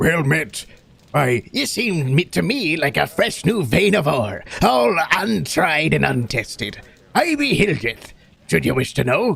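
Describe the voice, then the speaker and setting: A man's put-on character voice, fairly high in pitch and fairly slow in pace. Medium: actual play. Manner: hearty, folksy.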